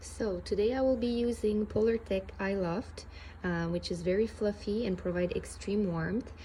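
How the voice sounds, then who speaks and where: Somewhat breathy, a woman's voice has a dark, mellow tone and ordinary pitch variation. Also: medium pitch for a woman, moderate pace. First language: French. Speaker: sewing hobbyist. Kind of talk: tutorial. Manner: hesitant, many fillers.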